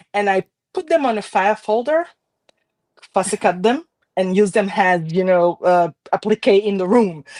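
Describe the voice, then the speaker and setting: A woman of medium pitch speaks at a fairly slow pace with a French Caribbean accent and ordinary pitch variation. The sound is dry and close with no echo, over a quiet background. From Haiti, Port-au-Prince. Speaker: card maker. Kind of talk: casual chat.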